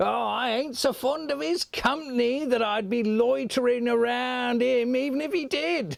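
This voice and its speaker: Cackling in a put-on character voice, a man talks at a moderate pace, his pitch extremely high with ordinary pitch variation. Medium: stage play. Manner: cackling, coarse.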